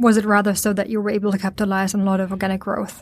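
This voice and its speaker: The speaker is a woman with a medium-pitched voice. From Sweden. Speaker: podcast host. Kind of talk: interview. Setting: studio in Stockholm.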